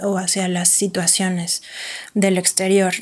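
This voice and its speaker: This is a woman speaking. Her pace is fairly slow. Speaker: psychotherapist. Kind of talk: interview.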